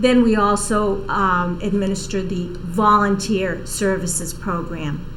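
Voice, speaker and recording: In a Boston accent, a woman speaks at a fairly slow pace with hardly any pauses. Her pitch is medium, with audible room echo and noticeable background noise. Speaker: senior services outreach coordinator. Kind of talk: TV interview.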